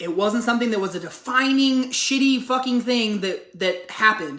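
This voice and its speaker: Over noticeable background noise, a woman with an American accent speaks in an animated tone with ordinary pitch variation. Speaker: YouTuber discussing social issues. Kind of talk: casual commentary vlog. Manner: fast.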